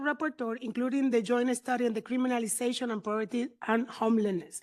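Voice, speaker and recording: A woman with a high voice on a very clean recording with a silent background. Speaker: diplomat. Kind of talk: formal statement at conference side event. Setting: conference room side event. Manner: halting, self-correcting.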